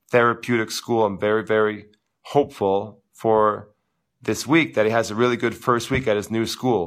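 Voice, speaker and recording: A loud male voice, medium in pitch and bright, sharp in tone, at a moderate pace on a very clean recording over a silent background. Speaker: tennis coach. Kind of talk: live Q&A stream. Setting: live video stream.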